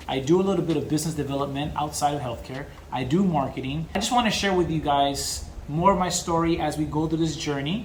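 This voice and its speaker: With an American accent, a man speaks very fast at a fairly high pitch with ordinary pitch variation, amid audible room echo and noticeable background noise. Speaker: business consultant and vlogger. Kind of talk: personal story monologue to camera.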